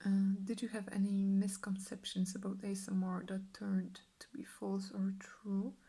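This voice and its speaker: A soft-spoken woman talks in a relaxed tone with monotone, flat intonation. Her loudness swings widely. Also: medium pitch for a woman, moderate pace. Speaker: ASMR artist. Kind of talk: ASMR Q&A answers to camera. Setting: studio, close microphone. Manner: soft-spoken, relaxed.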